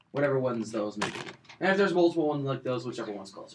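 Noticeable background noise runs through the clip. A man does the talking. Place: home room. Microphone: webcam.

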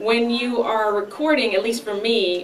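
Faint background noise runs behind a woman whose intonation is fairly even.

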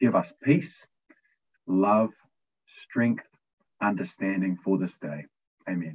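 A man with a New Zealand accent speaks at a fairly low pitch and a very slow pace, with long, frequent pauses. His intonation is lively, and the background is quiet. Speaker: youth leadership co-founder; panelist. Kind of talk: opening prayer and talk. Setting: video call. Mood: warm, smiling. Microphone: video call.

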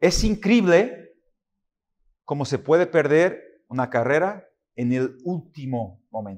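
A man with a fairly high pitch speaks very slowly, his pitch swinging very widely between long, frequent pauses. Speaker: preacher. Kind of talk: sermon. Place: church. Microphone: podium.

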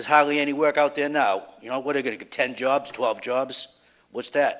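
Talking at a fairly quick pace with a Boston accent, a man's fairly high voice stays fairly even in intonation. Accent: Boston-area. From Revere, Massachusetts. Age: 50s. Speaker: resident speaking at public hearing. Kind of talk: public comment at council hearing. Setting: city council meeting.

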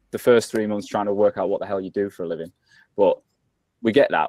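In a quiet background, a man with a dark, mellow tone and fairly low pitch talks at a fairly quick pace, the sound dry with no echo. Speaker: guest. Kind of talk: interview answer. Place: office. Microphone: video call.

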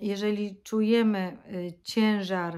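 The background is quiet. A woman speaks with a fairly high voice. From Poland. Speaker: vlogger. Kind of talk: casual vlog monologue. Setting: at home. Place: home room. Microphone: phone near.

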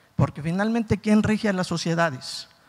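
Over a quiet background, a man talks in a high pitch. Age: 60s. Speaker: audience member, teacher; audience member. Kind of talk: audience question. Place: hall. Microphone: handheld.

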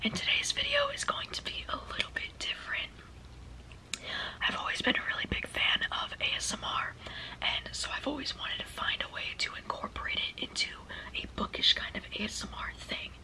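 Someone is whispering at a fairly quick pace. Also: woman. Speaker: booktuber / ASMR beginner. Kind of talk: casual talk to camera, video intro. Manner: friendly, upbeat. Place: home room. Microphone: phone near.

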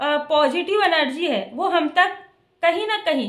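A woman's extremely high voice with ordinary pitch variation, at a fairly slow pace against a quiet background. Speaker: tarot card reader. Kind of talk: tarot reading monologue. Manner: varying pitch, sometimes high, sometimes soft. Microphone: phone near.

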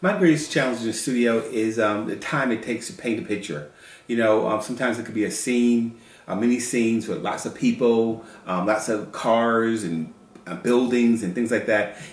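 A man with an American accent at a medium pitch, ordinary pitch variation and a moderate pace, with audible room echo. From US South, North Carolina. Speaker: children's book illustrator. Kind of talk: casual chat. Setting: at home, kitchen counter. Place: kitchen. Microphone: camera far.

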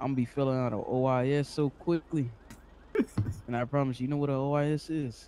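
A man talks at a medium pitch and a moderate pace, with monotone, flat intonation and very even loudness. He leaves long, frequent pauses. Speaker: game roleplayer playing a police officer. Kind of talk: in-character game roleplay chat. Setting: online game voice chat.

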